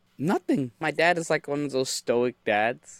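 Recorded very cleanly against a silent background with a dry, close sound and no echo, a man speaks at a moderate pace in an ordinary speaking voice with ordinary pitch variation. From United States (immigrated from Bangladesh at age 3-4). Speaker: career coach and resume writer. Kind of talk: casual interview.

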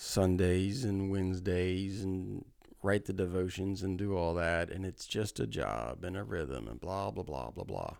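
A man speaks with a very deep, low pitch and ordinary pitch variation. The recording is very clean with a silent background. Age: 40s. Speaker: pastor. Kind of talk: casual chat. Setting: office.

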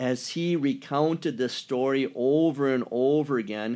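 On a very clean recording with a silent background, a man speaks in a Wisconsin accent with fairly even intonation. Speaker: pastor. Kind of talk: casual chat.

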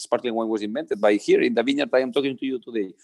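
A man talks with very wide pitch swings at a fairly high pitch for a man. The sound is dry and close with no echo. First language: Catalan. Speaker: winemaker. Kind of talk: casual interview. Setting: remote call. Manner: halting, many repeated words.

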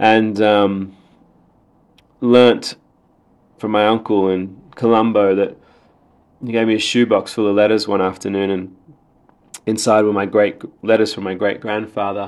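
Using monotone, flat intonation, a man with an Australian accent talks fairly slowly in a fairly low pitch with long, frequent pauses. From Sydney, Australia (born Sri Lanka). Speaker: playwright and theatre director. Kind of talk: interview.

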